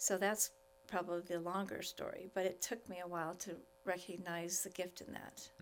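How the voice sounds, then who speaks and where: In an American accent, a woman with an ordinary speaking voice talks at a moderate pace and medium pitch with fairly even intonation. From Wyoming, US. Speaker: spiritual director. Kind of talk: interview conversation.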